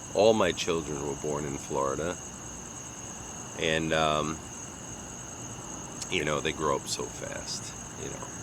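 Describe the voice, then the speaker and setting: A man's very deep, low voice with a Long Island accent, at a fairly slow pace with long, frequent pauses and noticeable background noise. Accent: New York (Long Island) American. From US Northeast, Long Island, New York. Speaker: vlogger. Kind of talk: casual monologue. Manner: halting, with many fillers.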